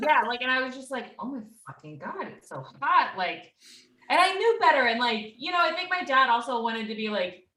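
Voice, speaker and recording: A woman speaks in a raised, projected voice at a fairly quick pace, her tone animated and her pitch high, with very wide swings. Her loudness rises and falls sharply, and the room echo is audible. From rural Texas (near Austin). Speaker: podcast guest. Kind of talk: casual chat, storytelling.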